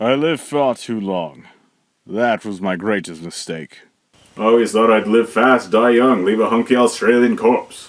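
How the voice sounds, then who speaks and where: Putting on a character voice, a man speaks at a moderate pace and a medium pitch. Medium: read story. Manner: slow, solemn.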